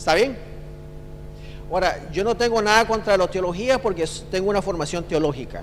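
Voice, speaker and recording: His pitch varies in an ordinary way. This man keeps a moderate pace. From Costa Rica. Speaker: theologian and church trainer. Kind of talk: seminar talk. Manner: casual, conversational.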